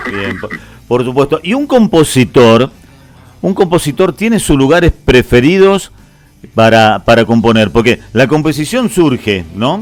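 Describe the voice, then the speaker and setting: A man with a Rioplatense accent, fairly high in pitch, at a fairly slow pace with very wide pitch swings, and music in the background. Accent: Argentine Spanish (rioplatense). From Argentina. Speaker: radio host. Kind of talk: radio interview.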